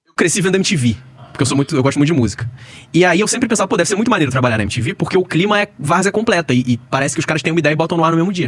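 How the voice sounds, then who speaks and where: Fairly high in pitch, a man talks at a very fast pace with very wide pitch swings. His loudness swings widely, and noticeable background noise is present. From Rio de Janeiro, Brazil. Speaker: former sports TV producer. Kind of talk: podcast interview.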